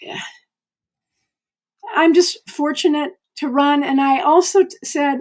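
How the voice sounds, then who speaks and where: Talking at a fairly slow pace with long, frequent pauses, a woman with a high pitch keeps a fairly even intonation while her loudness swings widely. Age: 70s. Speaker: veteran amateur runner. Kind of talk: podcast interview. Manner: halting.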